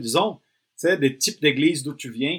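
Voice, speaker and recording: Over a very clean recording with a silent background, a man speaks at a fairly high pitch with ordinary pitch variation. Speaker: pastor and missionary. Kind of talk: podcast conversation.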